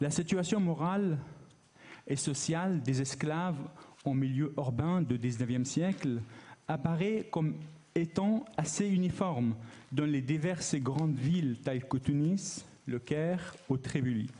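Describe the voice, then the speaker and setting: A man's somewhat breathy voice with a dark, mellow tone and fairly high pitch, ordinary pitch variation and very even loudness, fairly slow with long, frequent pauses, in audible room echo. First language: not French, learned French recently as adult (speaking French). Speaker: academic researcher, conference speaker. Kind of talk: conference talk.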